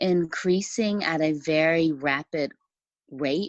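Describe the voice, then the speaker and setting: With an American accent, a woman speaks at a fairly low pitch, the sound dry and close with no echo over a quiet background. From Los Angeles, California. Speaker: TV writer and family caregiver. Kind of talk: podcast interview. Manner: halting.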